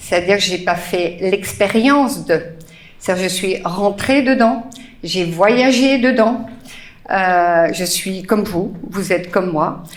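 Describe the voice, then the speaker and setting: Very slow speech from a woman at medium pitch, with ordinary pitch variation and audible room echo. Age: 60s. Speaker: spiritual teacher. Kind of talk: talk to live audience. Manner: hesitant, many fillers.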